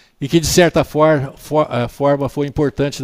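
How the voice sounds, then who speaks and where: A man with a normal speaking voice pitched fairly high for a male talks at a moderate speed. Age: 60s. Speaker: orthopedic doctor. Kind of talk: interview.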